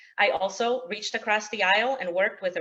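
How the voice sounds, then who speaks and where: A woman's lively intonation in a Polish accent. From Poland, then US Midwest (Illinois suburbs) from age eleven. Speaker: state representative candidate. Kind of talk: opening statement at candidate forum. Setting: virtual webinar forum. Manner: frequent filler words (um, uh).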